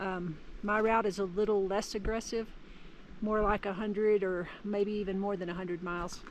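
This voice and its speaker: At a moderate pace, a woman talks in a monotone, flat intonation. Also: medium pitch for a woman. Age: 60s. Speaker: trail runner. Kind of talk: video diary. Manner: casual.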